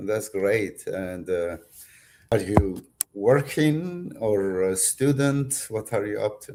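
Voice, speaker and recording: A man talks at a very slow pace with a strong Turkish accent. His fairly low voice has a dark, mellow tone. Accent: heavy Turkish. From Turkey, Kurdish family. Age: 60s. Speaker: author and philosopher. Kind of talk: interview. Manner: halting.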